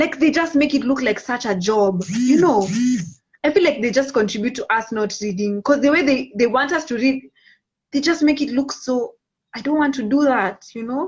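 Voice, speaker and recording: The speaker has an animated tone and lively intonation. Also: woman, high pitch for a woman, moderate pace. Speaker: social media live host. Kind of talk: casual chat. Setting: Instagram live video stream.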